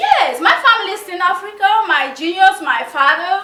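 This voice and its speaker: This woman uses a raised, projected voice. She keeps to a moderate pace. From Cameroon. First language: Mundani. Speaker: game show contestant applicant. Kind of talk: interview. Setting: conference room.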